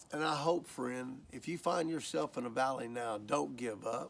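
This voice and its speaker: Ordinary pitch variation runs through speech delivered very slowly. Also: man. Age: 60s. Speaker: lay preacher. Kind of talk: sermon. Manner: earnest, exhorting.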